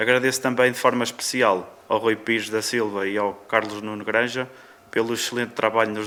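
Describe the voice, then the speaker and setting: This man talks at a moderate pace with a medium pitch and a monotone, flat intonation. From Válega, Ovar, northern Portugal. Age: 20s. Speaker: local election candidate. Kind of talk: political debate.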